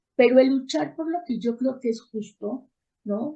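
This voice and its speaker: A woman speaks at a moderate pace. Her voice is somewhat breathy, with a dark, mellow tone. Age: 60s. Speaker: therapist and educator. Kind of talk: interview.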